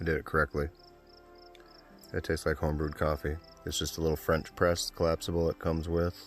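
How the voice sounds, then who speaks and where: Over music in the background, a man talks at a very fast pace in a very deep, low pitch and a monotone, flat intonation, with long, frequent pauses. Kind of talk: casual vlog narration to camera. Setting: outdoors. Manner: monotone, low-energy.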